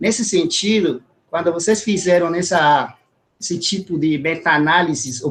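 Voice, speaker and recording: The speaker has a Spanish accent and talks at a fairly slow pace. Pitch variation is ordinary. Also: man. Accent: Spanish-accented Portuguese (portunhol). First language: Spanish (speaking Portuguese). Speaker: scientist, audience member asking a question. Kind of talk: academic Q&A question. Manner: halting, with fillers.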